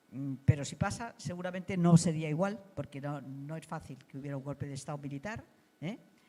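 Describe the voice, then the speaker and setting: A woman's very deep, low voice, dark and mellow in tone, with big swings in loudness. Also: ordinary pitch variation, fairly quick pace. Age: 80s+. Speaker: political activist. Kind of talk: interview. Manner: halting.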